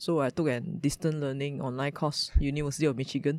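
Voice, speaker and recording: Her voice sits at a very deep, low pitch. The woman keeps her intonation fairly even. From Malaysia. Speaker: startup founder, former lawyer. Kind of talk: interview.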